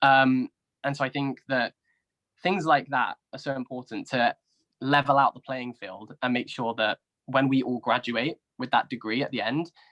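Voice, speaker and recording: A man with a southern English accent at a moderate pace. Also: medium pitch for a man, fairly even intonation. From southern England. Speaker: YouTuber and university graduate. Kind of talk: interview discussion. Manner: hesitant, frequent fillers.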